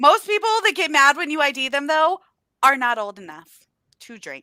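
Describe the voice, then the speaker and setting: A woman's raised, projected voice, high, bright and sharp, sounds animated at a moderate pace, with very wide pitch swings and big swings in loudness. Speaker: book youtuber. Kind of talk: casual chat.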